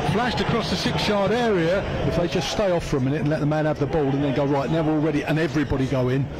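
A man's very fast, fairly high-pitched speech with hardly any pauses, ordinary pitch variation and very even loudness, over noticeable background noise. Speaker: match commentator. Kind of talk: live football commentary. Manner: fast, fluent play-by-play delivery.

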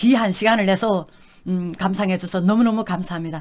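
An animated woman in a North Korean accent, with ordinary pitch variation. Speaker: YouTube vlogger, North Korean defector. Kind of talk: casual storytelling monologue.

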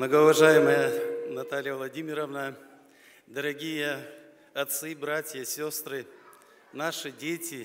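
A man's very slow delivery with long, frequent pauses, fairly even intonation and light background noise. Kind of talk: festive address speech. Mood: warm, solemn, festive. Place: stage.

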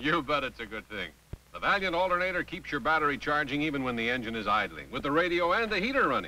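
Over light background noise, a man talks very fast with lively intonation in a dry recording with no echo. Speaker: announcer and actor. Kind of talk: TV commercial read. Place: stadium.

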